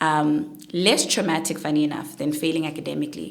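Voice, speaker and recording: Audible room echo surrounds a woman speaking at a moderate pace. Her pitch is fairly low and her intonation fairly even. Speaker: chartered accountant and public speaker. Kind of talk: interview testimony.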